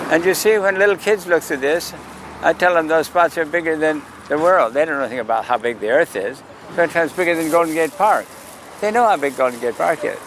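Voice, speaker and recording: Over noticeable background noise, a man speaks at a very fast pace. His pitch is high and his intonation lively. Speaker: sidewalk astronomer. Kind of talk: outdoor public astronomy talk. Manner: calling out loudly to passersby.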